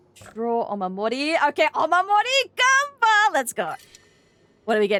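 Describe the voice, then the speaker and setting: With a raised, projected voice, a woman speaks at a high pitch that swings very widely, in a dry, close sound with no echo. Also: moderate pace. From Australia. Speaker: gaming streamer. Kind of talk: live gameplay streaming chat.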